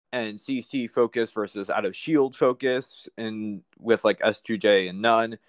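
In an American accent, a man of medium pitch talks with fairly even intonation and an unremarkable speaking voice. The sound is dry and close with no echo, a very clean recording with a silent background. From Manhattan, New York. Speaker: caller.

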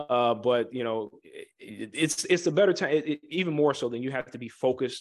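At a moderate pace, a man with an American accent talks in a plain, everyday voice at a medium pitch with ordinary pitch variation. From Chicago area. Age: 20s. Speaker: Air Force veteran and real estate developer. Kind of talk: interview.

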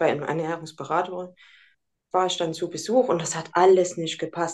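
Her voice is at a medium pitch. The woman keeps to a moderate pace. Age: 40s. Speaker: nutrition consultant. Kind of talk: interview.

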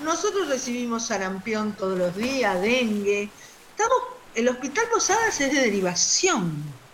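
A woman speaks in a high voice at a fairly slow pace. Her pitch swings very widely, with noticeable background noise behind her. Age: 60s. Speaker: doctor. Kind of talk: interview.

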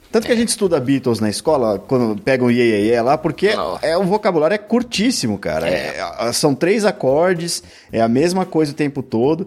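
A man's fairly high voice at a fairly quick pace, very wide pitch swings, and very even loudness. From São Paulo, Brazil. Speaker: music podcaster. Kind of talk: casual chat.

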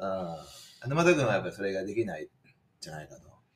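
A man in a Kansai accent with very wide pitch swings. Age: 40s. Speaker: podcast host. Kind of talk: casual chat.

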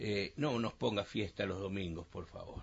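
Speaking at a moderate pace, a man has an ordinary speaking voice at a medium pitch. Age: 60s. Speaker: mayor. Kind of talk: radio interview.

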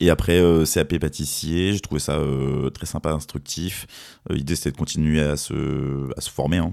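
Very deep and low in pitch, with vocal fry, a man talks at a fairly slow pace with hardly any pauses and fairly even intonation. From France, Fontainebleau area. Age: 30s. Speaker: spirits brand ambassador. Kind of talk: interview. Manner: halting, many repetitions.

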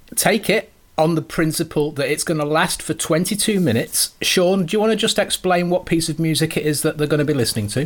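A man with a normal speaking voice talks at a fairly quick pace with hardly any pauses, his loudness very even and his pitch variation ordinary. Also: fairly high pitch for a man. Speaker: podcast host. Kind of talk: interview.

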